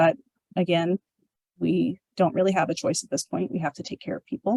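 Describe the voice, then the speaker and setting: A woman's fairly low voice with an American accent, vocal fry, lively intonation and big swings in loudness, in a dry, close sound with no echo. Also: fairly quick pace. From US Pacific Northwest (southwest Washington). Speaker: corrections director. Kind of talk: public talk with Q&A. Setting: museum talk with live and online audience. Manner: fast.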